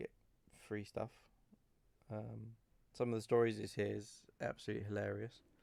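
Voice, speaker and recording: A man with a British accent speaks at a moderate pace and medium pitch. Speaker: gaming video creator; delivery truck driver. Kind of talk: casual gameplay commentary. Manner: hesitant, many fillers.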